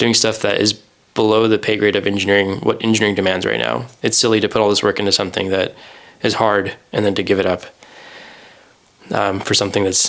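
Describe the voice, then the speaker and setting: A man with an American accent speaks at a very fast pace, with fairly low pitch and vocal fry. His loudness is very even, though he leaves long, frequent pauses. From US, Idaho. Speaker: podcast co-host, software engineer. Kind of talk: casual chat.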